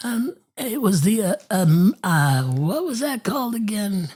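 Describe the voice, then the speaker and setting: A man's put-on character voice, high-pitched, with very wide pitch swings and a fairly slow pace. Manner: halting, hesitant.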